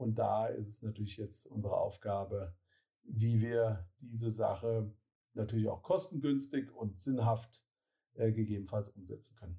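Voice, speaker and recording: A dark, mellow, somewhat breathy tone at a moderate pace with ordinary pitch variation. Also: man, fairly low pitch for a man. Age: 40s. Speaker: city administration mobility officer. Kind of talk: interview. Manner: hesitant with many filler sounds.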